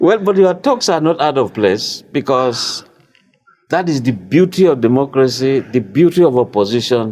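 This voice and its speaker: Speaking at a moderate pace with a medium pitch, a man uses a plain, everyday voice with lively intonation and very even loudness. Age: 60s. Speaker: TV talk show host. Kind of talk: interview. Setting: studio.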